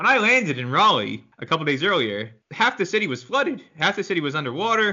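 Here a man talks at a very fast pace. His pitch is high and swings very widely. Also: hardly any pauses. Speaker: podcast host. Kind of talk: casual interview.

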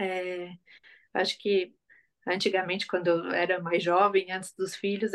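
Flat, monotone intonation carries speech delivered at a moderate pace. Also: woman. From southern Brazil, Florianópolis. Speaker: psychologist. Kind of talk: casual interview chat.

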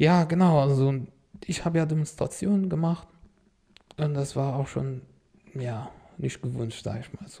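Speaking with an Arabic accent, a man with a fairly high pitch and a dark, mellow, somewhat breathy tone uses ordinary pitch variation, big swings in loudness and long, frequent pauses. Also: moderate pace. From Syria, Damascus. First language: Arabic (speaking German). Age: 30s. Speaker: refugee, car salesman. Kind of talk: interview, life story.

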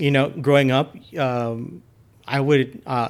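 This man has a plain, everyday voice with an American accent, medium pitch, and fairly even intonation. The recording is very clean, with a silent background. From Texas, El Paso. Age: 40s. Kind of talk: casual interview conversation.

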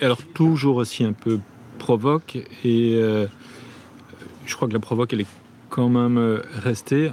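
A man speaks at medium pitch with fairly even intonation. Long, frequent pauses break his speech against noticeable background noise. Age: 50s. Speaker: theatre director. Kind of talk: interview.

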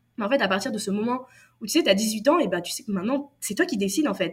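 Bright and sharp in tone, a woman's voice swings very widely in pitch. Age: 20s. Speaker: copywriter. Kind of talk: interview.

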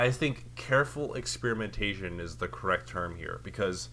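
With vocal fry, a man talks at a moderate pace. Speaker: podcast co-host. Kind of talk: casual chat.

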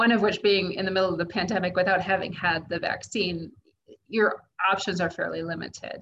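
A woman's medium-pitched voice with an American accent, flat and monotone in its intonation. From US, Kansas. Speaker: traveling parent. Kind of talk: interview.

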